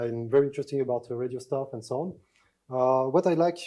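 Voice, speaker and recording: With a French accent, a man speaks in a dark, mellow, medium-pitched voice on a very clean recording with a silent background. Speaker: security researcher. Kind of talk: conference talk. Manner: halting, many fillers.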